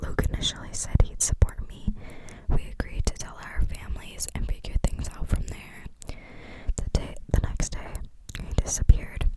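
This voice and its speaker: Whispering at a moderate pace over noticeable background noise. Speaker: ASMR creator. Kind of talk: ASMR reading of online forum posts. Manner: whispered.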